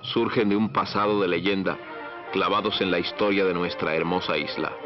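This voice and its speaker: A man's fairly low voice at a moderate pace, with very even loudness, fairly even intonation and music in the background. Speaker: newsreel announcer. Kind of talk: newsreel documentary narration.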